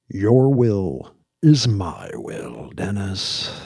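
Doing a put-on character voice, a man speaks with a fairly low pitch and lively intonation. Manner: sighing, weary.

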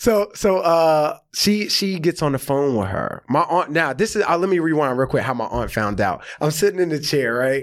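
With an American accent, a man uses an ordinary speaking voice at a fairly high pitch, lively intonation and a moderate pace with hardly any pauses, on a very clean recording with a silent background. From US South, rural Georgia. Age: 30s. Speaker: comedian and actor. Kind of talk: casual chat.

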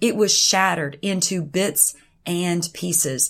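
A woman speaks at medium pitch with lively intonation. The recording is very clean, with a silent background. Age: 40s. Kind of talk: devotional talk sharing personal testimony. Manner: hesitant, with frequent fillers.

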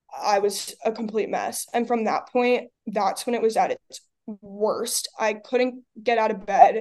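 A woman with an American accent has an ordinary speaking voice and a fairly high pitch. She talks at a fairly slow pace with lively intonation. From US Northeast, Long Island. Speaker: college athlete. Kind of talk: casual interview.

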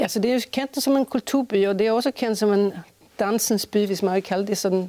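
A woman's medium-pitched voice, dark and mellow in tone, moves at a moderate pace with ordinary pitch variation, the sound dry and close with no echo. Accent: slight Swedish. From Sweden, Stockholm. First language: Swedish (speaking Danish). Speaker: choreographer and artistic director. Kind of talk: interview. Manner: halting, frequent fillers.

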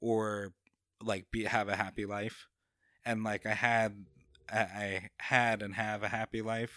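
A man with an American accent speaks at a fairly slow pace with long, frequent pauses in a fairly low, bright, sharp voice with monotone, flat intonation, on a very clean recording with a silent background and a dry, close sound with no echo. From New York, Long Island (Babylon). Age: 30s. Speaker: comedian. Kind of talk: casual chat.

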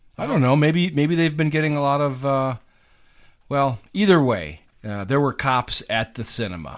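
Using a normal speaking voice, a man talks at a moderate pace and fairly high pitch with lively intonation. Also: very clean recording, silent background. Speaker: podcast host. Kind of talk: casual chat, instant movie review.

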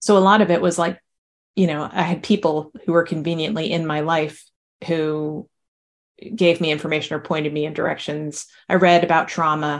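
At a moderate pace and a fairly low pitch, a woman with an American accent speaks with fairly even intonation in an unremarkable speaking voice against a quiet background. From New Jersey. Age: 50s. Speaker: novelist. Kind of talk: interview.

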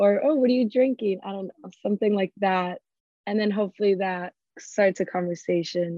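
A woman speaks in a Miami accent at a fairly quick pace. Her pitch is medium, with ordinary variation. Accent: Miami American English. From US South, Miami. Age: 20s. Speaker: event planner. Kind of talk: casual interview.

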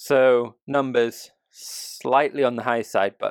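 A man with a British accent is heard on a very clean recording with a silent background and a dry, close sound with no echo. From UK. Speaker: news podcast co-host. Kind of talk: casual news discussion.

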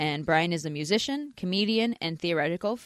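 A woman's unremarkable speaking voice, fairly low in pitch with ordinary variation, with an American accent at a moderate pace, in a dry, close sound with no echo. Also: quiet background. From US Northeast, Philadelphia. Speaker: podcast co-host. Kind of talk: casual chat.

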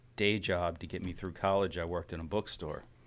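Over a very clean recording with a silent background, a man with an American accent speaks at a very deep, low pitch in a monotone, flat intonation. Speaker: brewery co-founder. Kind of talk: casual chat. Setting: studio.

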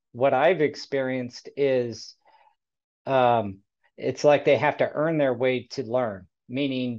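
Against a quiet background, a plain, everyday voice talks with fairly even intonation. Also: man. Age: 40s. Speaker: podcast host for flooring installers. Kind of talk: casual panel discussion.

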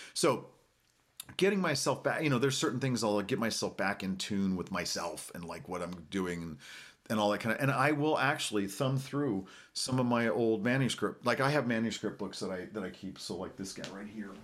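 This man has an American accent and a medium pitch. He talks at a fairly quick pace with lively intonation. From Oklahoma. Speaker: composer and pianist. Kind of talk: casual interview chat. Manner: upbeat, energetic.

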